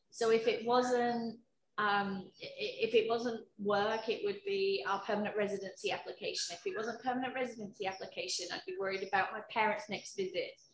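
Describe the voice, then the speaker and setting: Somewhat breathy, a woman speaks with hardly any pauses and ordinary pitch variation, with audible room echo and light background noise. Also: fairly high pitch for a woman, moderate pace. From UK. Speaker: HR professional. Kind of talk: personal testimony interview. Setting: video call from home. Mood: reflective, personal. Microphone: video call.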